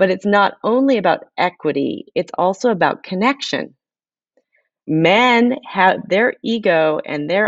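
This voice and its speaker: A woman talks in a plain, everyday voice at a medium pitch. Her intonation is lively and her pace fairly slow. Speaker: author. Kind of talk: interview. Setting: remote from home.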